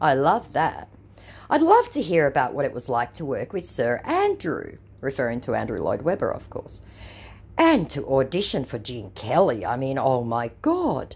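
Speaking at a fairly slow pace, a woman delivers her words in an Australian accent. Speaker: YouTuber who baits scammers. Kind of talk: casual vlog reading out chat messages. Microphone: relatively poor sound quality.

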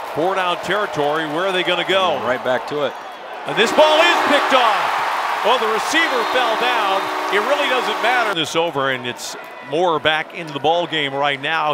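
A man speaks at a high pitch. The sound is dry with no echo, and crowd noise fills the background. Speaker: play-by-play sports commentator. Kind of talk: live commentary. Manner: animated. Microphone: headset.

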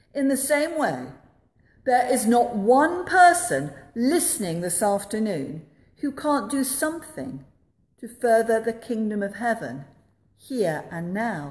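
Her pitch rises and falls very widely. The woman talks at a fairly slow pace. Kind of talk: sermon. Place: church. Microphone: phone near.

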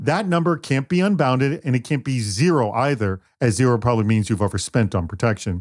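A man with an ordinary speaking voice talks at a fairly quick pace, medium in pitch with lively intonation. The recording is very clean with a silent background and a dry, close sound with no echo. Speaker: podcast host and producer. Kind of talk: podcast panel discussion.

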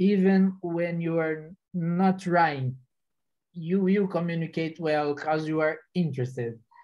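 Fairly slow delivery with fairly even intonation. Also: man, quiet background. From Brazil. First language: Portuguese. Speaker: software engineer; panelist. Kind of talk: panel discussion. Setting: online video webinar. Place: home room. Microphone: video call.

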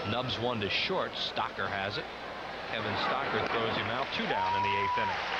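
Over loud background noise, the voice moves at a moderate pace in a dry sound with no echo. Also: man. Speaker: play-by-play announcer. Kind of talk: live sports commentary, play-by-play.

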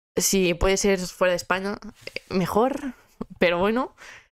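A woman speaks in an animated tone with ordinary pitch variation. The sound is dry with no echo over a quiet background. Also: long, frequent pauses, very even loudness. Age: 20s. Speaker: podcast host; podcast host or guest. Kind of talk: casual chat. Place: home room. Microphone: handheld.

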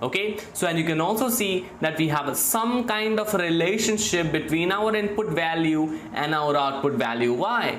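The speech runs on with hardly any pauses over noticeable background noise. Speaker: machine learning instructor. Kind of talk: lecture. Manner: halting, many repetitions and fillers; slow.

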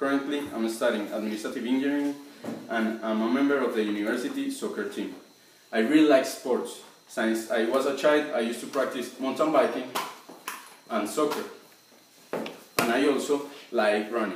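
In a Colombian accent, a man speaks with ordinary pitch variation and long, frequent pauses, with audible room echo and light background noise. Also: moderate pace. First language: Spanish. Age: 20s. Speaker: job applicant. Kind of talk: application video talk to camera. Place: home room.

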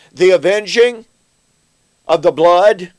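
A man talks fairly slowly, and the background stays quiet. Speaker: bible teacher. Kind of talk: lecture. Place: office.

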